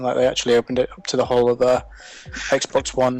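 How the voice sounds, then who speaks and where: A man with a British accent at a medium pitch, very fast pace, dry close sound with no echo, and music in the background. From UK. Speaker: games writer. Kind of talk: casual chat.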